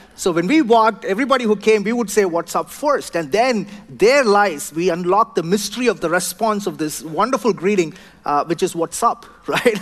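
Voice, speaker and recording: A high-pitched man with a South Indian accent speaks with lively intonation. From southern India; Chennai, India. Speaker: pastor. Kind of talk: sermon. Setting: church.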